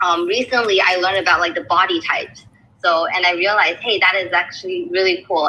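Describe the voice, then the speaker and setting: A woman at medium pitch, very fast in pace and very even in loudness, over noticeable background noise. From China, raised in US and Canada. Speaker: nutrition graduate. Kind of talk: casual chat. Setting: audio chat room. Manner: halting.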